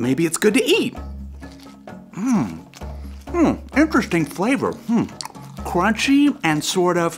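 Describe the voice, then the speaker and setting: A man's put-on character voice, high in pitch and fairly slow, with clear music in the background. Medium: read story. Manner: hesitant, stammering.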